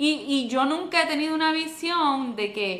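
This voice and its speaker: With a Puerto Rican accent and lively intonation, a woman speaks at a very slow pace against noticeable background noise. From Puerto Rico. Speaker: podcast co-host. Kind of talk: casual chat.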